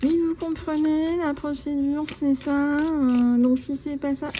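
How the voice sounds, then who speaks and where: A woman uses a put-on character voice, nasal and high-pitched, with monotone, flat intonation at a fairly slow pace. Background noise is clearly audible. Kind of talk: prim, polite, hesitant.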